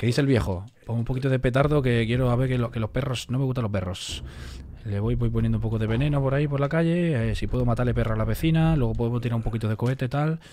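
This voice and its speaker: With very even loudness and ordinary pitch variation, a man at medium pitch talks at a very fast pace over light background noise. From Spain. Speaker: streamer. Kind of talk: casual live stream chat. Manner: animated. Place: home room. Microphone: studio mic.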